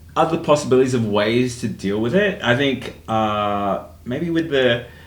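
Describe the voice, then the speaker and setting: With an Australian accent, a man speaks at a moderate pace and a medium pitch. His intonation is lively, and room echo is audible. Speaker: podcast host. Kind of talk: casual chat.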